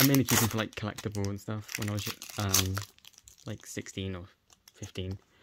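A man with a British accent and a fairly low pitch, long, frequent pauses, and loud background noise. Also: moderate pace. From UK. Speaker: YouTuber; toy unboxing creator. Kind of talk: unboxing video. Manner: animated. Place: home room.

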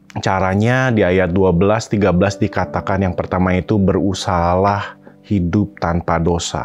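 A man speaks at a fairly slow pace. There is light background noise behind him. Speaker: pastor. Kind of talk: sermon. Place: studio. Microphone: phone near.

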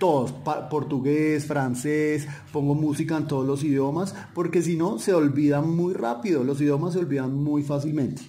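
With noticeable background noise and audible room echo, a man speaks at a moderate pace. His fairly high pitch carries fairly even intonation and very even loudness. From Colombia. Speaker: polyglot, development worker. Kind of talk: podcast interview. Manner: hesitant with many fillers.

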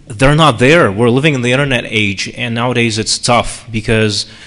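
A man talks at a moderate pace with ordinary pitch variation, against a quiet background. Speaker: panelist. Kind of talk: lecture. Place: hall. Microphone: podium.

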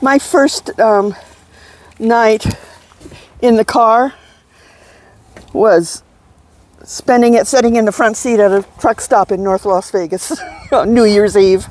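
Very slow and broken by long, frequent pauses, a woman's fairly high voice holds a very even loudness and ordinary pitch variation in a dry sound with no echo. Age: 70s. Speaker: van dweller. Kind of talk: interview. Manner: halting. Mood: calm, reflective. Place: open country. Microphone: lapel.

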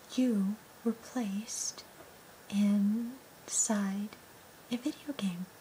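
Over light background noise, a soft-spoken woman talks at a very slow pace with fairly even intonation. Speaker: ASMR role-play host. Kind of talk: soft ASMR role-play talk. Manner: soft-spoken, hushed ASMR delivery. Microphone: phone near.

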